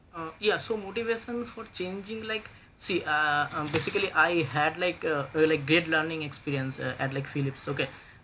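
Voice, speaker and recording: A man with a fairly high pitch and lively intonation talks at a moderate pace with hardly any pauses over noticeable background noise. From India, West Bengal. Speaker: DevOps engineer job candidate. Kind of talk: job interview. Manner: halting, many fillers.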